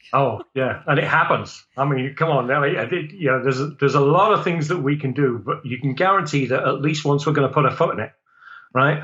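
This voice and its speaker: With an English accent, a man talks at a fairly quick pace and a fairly high pitch. His tone is bright and sharp, with ordinary pitch variation. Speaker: business owner and networking group director. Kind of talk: casual podcast discussion.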